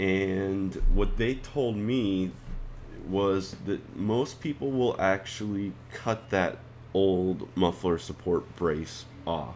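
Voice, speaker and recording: The speech moves at a very slow pace. Pitch variation is ordinary. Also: man, fairly low pitch for a man. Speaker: motorcycle owner. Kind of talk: motorcycle install tutorial narration.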